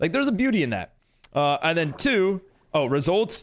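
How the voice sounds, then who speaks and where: A man with a high pitch, very wide pitch swings and a moderate pace, on a very clean recording with a silent background. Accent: American. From New York. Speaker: Minecraft streamer and server owner. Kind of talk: live stream chat. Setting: live stream. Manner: casual, halting with repetitions.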